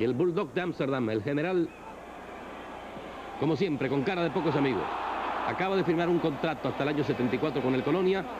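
A man speaks at a fairly high pitch with ordinary pitch variation and very even loudness, leaving long, frequent pauses. Noticeable background noise runs underneath. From Barranquilla, Colombia. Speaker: sports commentator. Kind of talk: football match commentary. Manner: measured, unhurried, no shouting.

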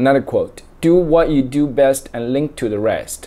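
In a Chinese accent, a man talks at a fairly slow pace in a fairly high voice with a dark, mellow tone and fairly even intonation. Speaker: book reading vlogger. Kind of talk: casual talk to camera. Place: home room. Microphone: phone near.

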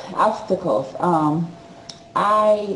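A woman's voice with audible room echo. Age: 40s. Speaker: author and speaker; speaker. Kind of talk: testimony. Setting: video call. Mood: earnest, emotional personal story. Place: home room. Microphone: video call.

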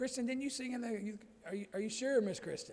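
The pace is very fast. A man speaks with ordinary pitch variation. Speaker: preacher. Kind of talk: sermon and church announcements. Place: church.

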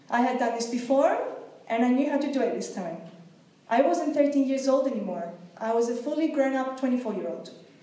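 A high-pitched woman's voice at a fairly quick pace with ordinary pitch variation and audible room echo. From Greece. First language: Greek. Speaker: language teacher. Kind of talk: prepared public speech. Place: hall. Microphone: podium.

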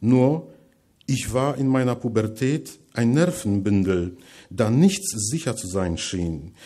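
Against a quiet background, a man with a Polish accent speaks at a very slow pace in a dark, mellow tone with very wide pitch swings. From Poland, Masuria; Poland. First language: Polish (speaking German). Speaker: writer, lecturer; lecturer. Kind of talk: lecture reading from manuscript. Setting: lecture hall with audience. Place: hall.

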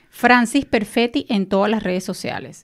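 At a moderate pace, a woman talks with ordinary pitch variation. The background is quiet. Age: 40s. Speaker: intercultural mediator and mentor for migrants; interview guest, coach. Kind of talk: interview. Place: studio. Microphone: studio mic.

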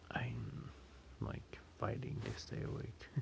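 A man speaks with vocal fry. Noticeable background noise is present. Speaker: game streamer. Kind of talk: casual gameplay commentary. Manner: sleepy, drowsy low voice.

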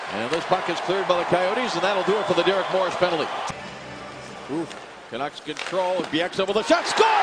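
Noticeable background noise under a fairly quick pace of speech. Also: man. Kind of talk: live play-by-play hockey commentary. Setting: arena broadcast. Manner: fast, excitable, rising to a shout on goals.

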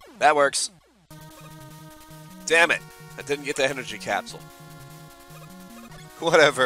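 Music in the background behind a man's fairly high-pitched voice, moderate pace, long and frequent pauses, and ordinary pitch variation. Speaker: gaming let's play commentator. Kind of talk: casual gameplay commentary.

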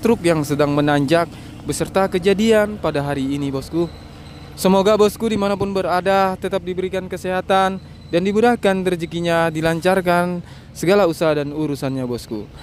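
Fairly quick delivery with ordinary pitch variation, light background noise and a dry sound with no echo. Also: man. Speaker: channel host filming. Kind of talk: commentary. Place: street. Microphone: phone near.

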